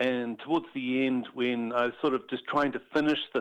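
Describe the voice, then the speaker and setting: A man speaks with a New Zealand accent. His pace is moderate and his intonation fairly even. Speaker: animator and illustrator. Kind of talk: interview.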